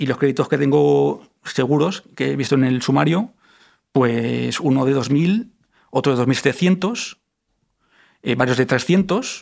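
At a very slow pace, a man of medium pitch talks with ordinary pitch variation and long, frequent pauses. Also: very even loudness. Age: 40s. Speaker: identity theft victim. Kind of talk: testimony. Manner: animated.

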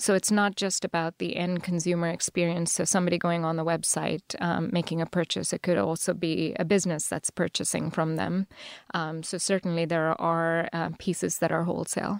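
A woman with a Telugu accent speaks at a fairly quick pace with hardly any pauses, her fairly low pitch flat and monotone, in a dry, close recording with no echo and a very clean, silent background. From southern India (Chennai, Tamil Nadu). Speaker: startup founder and CEO. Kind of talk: interview. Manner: hesitant, many fillers.

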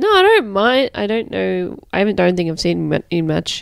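Her delivery is fairly slow. The woman talks with an Australian accent. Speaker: returning podcast guest. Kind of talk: casual chat.

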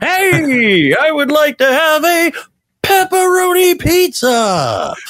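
A put-on character voice, high-pitched, at a very slow pace. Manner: smooth, announcer-style.

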